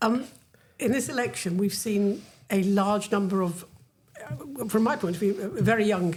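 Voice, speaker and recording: Speaking at a medium pitch and a moderate pace, a woman shows ordinary pitch variation despite noticeable background noise. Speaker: podcast host. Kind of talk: podcast interview host.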